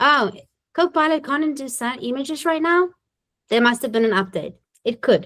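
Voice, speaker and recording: A woman's voice with lively intonation. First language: not English. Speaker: municipal government trainer and webinar presenter. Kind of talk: webinar tutorial with live demo. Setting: recorded webinar. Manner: casual, conversational.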